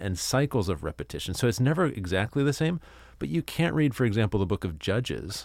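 A man talks at a moderate pace in an ordinary speaking voice with lively intonation. The recording is very clean, with a silent background. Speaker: university provost. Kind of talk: casual interview.

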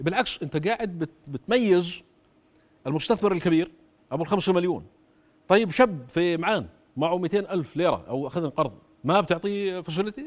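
A man's high-pitched, animated voice at a moderate pace, with a Jordanian accent. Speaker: former government minister and economist. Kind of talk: political interview.

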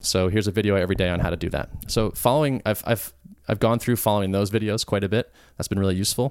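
A man's fairly low voice at a very fast pace with ordinary pitch variation. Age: 30s. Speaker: podcast guest, software developer. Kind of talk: casual chat.

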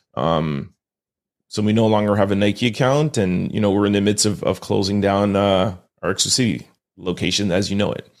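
This is a plain, everyday voice: a man with a Canadian accent, fairly low in pitch, speaking at a fairly quick pace with ordinary pitch variation. The recording is very clean, with a silent background. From Montreal, Canada. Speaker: entrepreneur and author. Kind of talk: interview.

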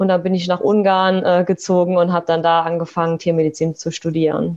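Her intonation monotone and flat, a woman speaks fairly quickly at a medium pitch. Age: 20s. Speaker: veterinarian. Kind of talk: interview. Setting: video call.

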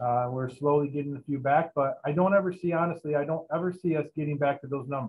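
A plain, everyday voice from a man with an American accent, fairly high in pitch and fairly quick in pace. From Michigan, US. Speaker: police chief. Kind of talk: interview.

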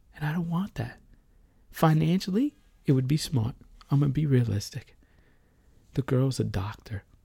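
A dark, mellow, somewhat breathy tone with lively intonation. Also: man, fairly high pitch for a man. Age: 30s. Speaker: podcaster telling personal story. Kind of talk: personal monologue. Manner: rambling, fast.

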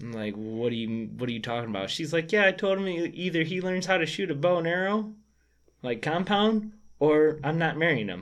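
A man's fairly high voice at a fairly quick pace, with very wide pitch swings. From Michigan. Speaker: bowhunter. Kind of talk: casual chat. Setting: studio.

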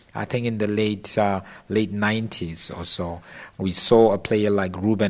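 With a normal speaking voice, this man keeps his intonation fairly even. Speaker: football pundit. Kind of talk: casual discussion.

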